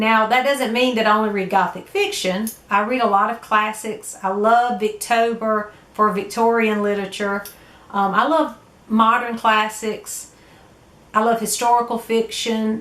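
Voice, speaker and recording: With a Southern US accent, a woman speaks at a moderate pace and a fairly high pitch in a monotone, flat intonation. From US South. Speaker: book vlogger. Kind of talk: casual vlog talk. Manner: hesitant, many fillers.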